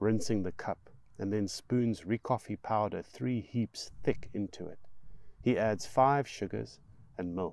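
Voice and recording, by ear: Here is someone reading aloud in a natural voice. The passage is read straight through.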